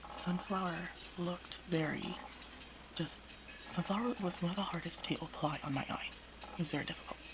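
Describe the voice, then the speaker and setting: Over noticeable background noise, a woman whispers at a fairly quick pace, broken by long, frequent pauses. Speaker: makeup reviewer. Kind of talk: casual talk to camera. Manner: whispered.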